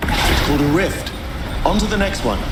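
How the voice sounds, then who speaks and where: A man puts on a character voice pitched high, with clear echo and loud background noise. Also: moderate pace. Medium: short film. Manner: dry, measured.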